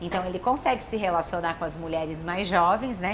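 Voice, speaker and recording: Over noticeable background noise, a woman speaks at a medium pitch in an animated tone. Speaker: talk show host. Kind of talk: casual talk show chat. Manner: fast.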